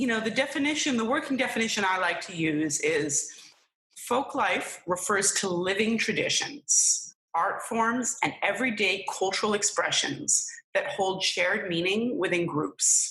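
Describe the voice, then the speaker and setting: A plain, everyday voice from a woman with an American accent, medium pitch, lively intonation and very even loudness. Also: fairly slow pace. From New York City area. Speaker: folklorist. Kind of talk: interview.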